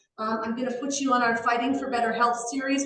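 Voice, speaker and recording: The speech comes at a fairly quick pace in a monotone, with flat intonation. Audible room echo fills the recording. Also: woman. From Canada. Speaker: online health group host. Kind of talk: live video call interview intro.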